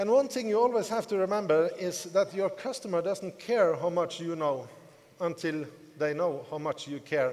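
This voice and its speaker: Lively intonation carries the speech along at a moderate pace. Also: man, high pitch for a man. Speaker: network marketing team leader. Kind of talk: motivational conference speech. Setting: stage with audience.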